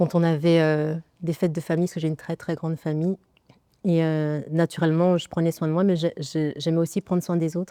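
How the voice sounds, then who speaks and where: In a very clean recording with a silent background and a dry, close sound without echo, a woman speaks at a fairly quick pace in a dark, mellow tone with monotone, flat intonation. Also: fairly low pitch for a woman. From Congo (Kinshasa). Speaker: nail artist. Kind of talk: podcast interview. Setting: studio.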